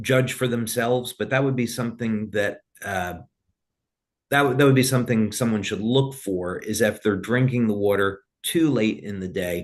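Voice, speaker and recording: An unremarkable speaking voice from a man at medium pitch, moderate pace and ordinary pitch variation, over a quiet background. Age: 60s. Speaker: company founder. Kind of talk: interview.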